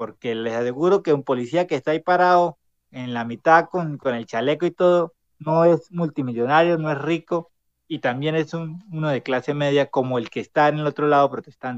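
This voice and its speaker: A man speaks at a fairly quick pace in an ordinary speaking voice, his pitch fairly high with ordinary variation. The sound is dry and close, with no echo. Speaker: city councillor and student leader. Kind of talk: casual chat.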